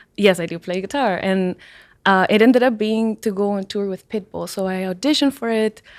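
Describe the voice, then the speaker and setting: A woman with a Spanish accent talks at a fairly quick pace, medium pitch and ordinary pitch variation on a very clean recording with a silent background. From Peru, Lima. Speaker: musician. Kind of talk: casual chat.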